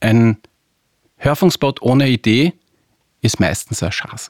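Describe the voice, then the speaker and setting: A man talks very slowly, the sound close and dry without any echo. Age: 40s. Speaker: advertising agency executive. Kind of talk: interview.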